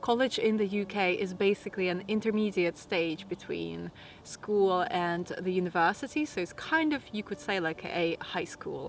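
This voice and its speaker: A woman with a Latvian accent at medium pitch, moderate pace, ordinary pitch variation and hardly any pauses, over noticeable background noise. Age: 30s. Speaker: lifestyle vlogger. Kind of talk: casual Q&A monologue.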